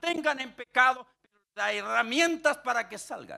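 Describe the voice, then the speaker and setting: Against a quiet background, a man projects a raised voice in a bright, sharp tone at a fairly slow pace. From Chile (Punta Arenas, raised in Viña del Mar). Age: 60s. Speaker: pastor. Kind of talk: sermon. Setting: stage with audience. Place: stage. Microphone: handheld.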